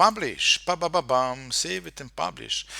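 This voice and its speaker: A man with a Slovenian accent speaks in a bright, sharp tone with lively intonation. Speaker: marketer and hypnotist, software demonstrator. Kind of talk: screen-share tutorial. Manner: halting, many fillers and repetitions.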